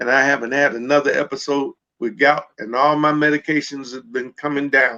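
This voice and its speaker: Bright and sharp in tone, a man speaks at a fairly high pitch and fairly quick pace in a flat monotone. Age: 70s. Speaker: pastor and CBD business expert. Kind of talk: panel discussion.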